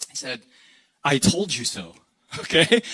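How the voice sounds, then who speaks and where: This raised, projected voice carries an American accent. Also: man. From US Midwest, Illinois. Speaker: pastor. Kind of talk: sermon. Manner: animated.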